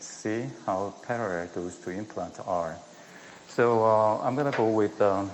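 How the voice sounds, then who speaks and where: A man speaks with a Korean accent, at a fairly slow pace and fairly low pitch. His pitch varies in an ordinary way, and the room echo is audible. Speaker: dentist performing live surgery demonstration. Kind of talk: live surgical demonstration commentary. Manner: soft-spoken; halting. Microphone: too quiet.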